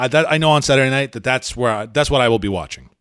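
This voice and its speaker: On a very clean recording with a silent background, a man with an unremarkable speaking voice talks at a medium pitch with lively intonation. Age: 40s. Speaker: MMA journalist and podcast host. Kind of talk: solo podcast commentary. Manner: casual with frequent fillers.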